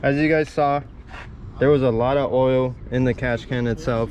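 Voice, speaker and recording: Over noticeable background noise, a man talks at medium pitch and a moderate pace with fairly even intonation. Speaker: car video host. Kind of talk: casual chat. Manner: stuttering.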